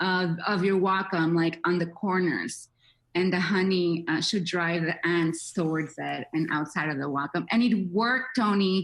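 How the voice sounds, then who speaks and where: Against a quiet background, a woman with a fairly low pitch speaks at a fairly slow pace with ordinary pitch variation. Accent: non-native. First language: not English. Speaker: social media manager for a tablet maker. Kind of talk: interview. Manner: animated.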